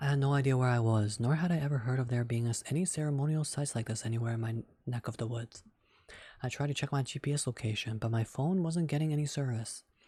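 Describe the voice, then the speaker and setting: A man speaks very fast at a medium pitch, with a dark, mellow tone and a somewhat breathy quality. His pitch varies in an ordinary way, and the recording is very clean with a silent background. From Canada. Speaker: streamer. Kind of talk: reading aloud; casual chat. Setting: live stream.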